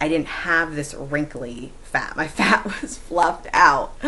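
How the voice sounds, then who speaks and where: A woman speaks at a very slow pace. Noticeable background noise is present. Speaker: vlogger. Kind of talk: vlog monologue. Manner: loud; halting, many ums.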